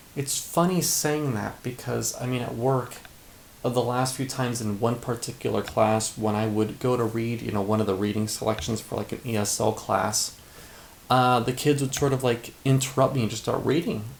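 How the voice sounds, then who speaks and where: A man at a medium pitch, moderate pace and ordinary pitch variation, with noticeable background noise. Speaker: teacher making practice vlogs. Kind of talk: casual vlog monologue. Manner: hesitant, many fillers and repeats.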